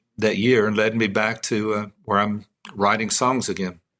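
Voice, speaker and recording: Man with a Texan accent, medium pitch, and moderate pace. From Texas (Midland). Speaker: songwriter. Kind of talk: testimony. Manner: casual storytelling.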